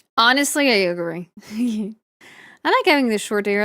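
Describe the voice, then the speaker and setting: Speaking at a fairly quick pace, a woman uses a raised, projected voice with a bright, sharp tone. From Italy. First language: Italian. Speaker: VTuber artist streamer. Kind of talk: casual chat. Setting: live stream.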